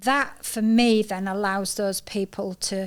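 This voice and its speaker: A woman with a northern English accent and monotone, flat intonation, in a very clean recording over a silent background. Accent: proper northern. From Yorkshire, northern England (York). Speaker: podcast host. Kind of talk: casual chat.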